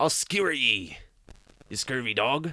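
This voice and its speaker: Using a put-on character voice, a man speaks at a medium pitch and a moderate pace. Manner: swashbuckling, threatening.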